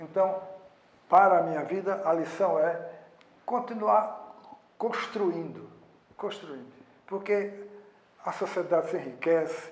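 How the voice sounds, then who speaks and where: A man's high-pitched voice at a fairly slow pace, with ordinary pitch variation, audible room echo and noticeable background noise. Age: 80s+. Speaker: sociologist, former newspaper president. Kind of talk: interview.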